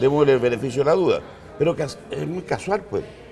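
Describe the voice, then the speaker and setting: With noticeable background noise and audible room echo, a man talks at a very fast pace and a fairly high pitch. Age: 60s. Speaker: former head of an accreditation agency. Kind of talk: interview.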